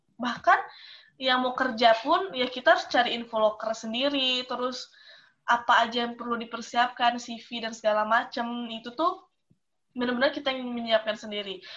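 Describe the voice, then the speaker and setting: With a bright, sharp tone, a woman speaks at a moderate pace in a high pitch, using ordinary pitch variation. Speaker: university student, alumna. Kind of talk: casual chat.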